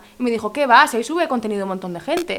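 A woman talks with lively intonation. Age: 20s. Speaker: podcast host. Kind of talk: casual interview.

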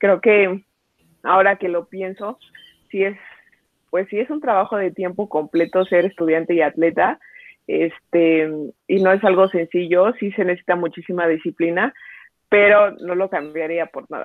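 Speaking at a fairly slow pace with long, frequent pauses, a woman talks in a Mexico City accent. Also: medium pitch for a woman, ordinary pitch variation. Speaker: softball player. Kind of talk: interview. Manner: hesitant with fillers.

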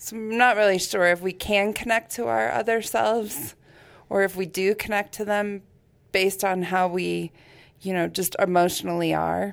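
Over a silent background in a very clean recording, a woman with a plain, everyday voice talks at medium pitch and a moderate pace. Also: ordinary pitch variation. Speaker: podcast co-host. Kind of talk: casual interview chat.

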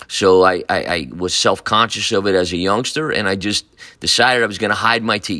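A bright, sharp tone at a moderate pace, with an American accent. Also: man. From Newburgh, New York, US. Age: 60s. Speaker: high school football coach. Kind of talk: personal storytelling monologue. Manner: halting, many fillers and repeats.

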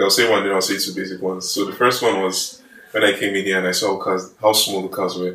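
Very fast and monotone, a man with a Nigerian accent talks in flat intonation. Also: fairly low pitch for a man. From Nigeria, Kogi State. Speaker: engineering student. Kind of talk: casual chat.

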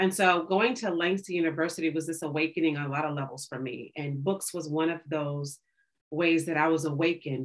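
An ordinary speaking voice from a woman with an American accent, fairly low in pitch, at a fairly quick pace with ordinary pitch variation. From Oklahoma, Tulsa. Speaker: bookstore co-owner. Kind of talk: casual interview.

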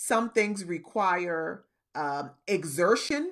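A woman with an American accent speaks at medium pitch over a quiet background. Her pitch swings very widely. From US South, Charleston, South Carolina. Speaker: podcast host. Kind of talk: motivational talk. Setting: Facebook live recording.

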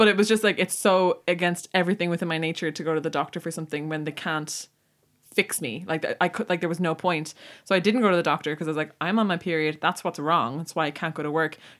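This woman speaks very fast with an Irish accent and fairly even intonation at a fairly low pitch. The recording is very clean, with a silent background. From Ireland. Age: 20s. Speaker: podcast co-host. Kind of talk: casual chat.

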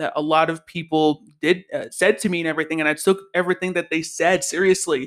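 A fairly quick pace in a very clean recording with a silent background. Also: man. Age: 20s. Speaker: podcast host. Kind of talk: casual monologue. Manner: animated.

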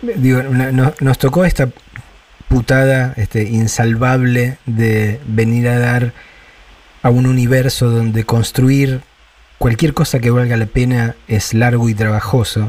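Very slowly, with long, frequent pauses, a man speaks in a somewhat breathy voice of medium pitch. His intonation is monotone and flat, and his loudness stays very even. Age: 50s. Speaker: radio host. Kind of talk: interview.

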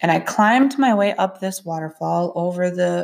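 A woman talks at a fairly slow pace in an ordinary speaking voice with ordinary pitch variation. The recording is very clean, with a silent background. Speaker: podcast host sharing spiritual experiences. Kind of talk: personal storytelling monologue.

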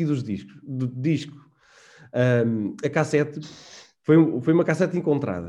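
The man's voice is fairly high in pitch, with a dark, mellow tone. He speaks at a moderate pace with lively intonation. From Portugal, Serra da Estrela (Manteigas). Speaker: IT consultancy manager. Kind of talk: casual interview chat. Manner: halting, many repetitions and fillers.

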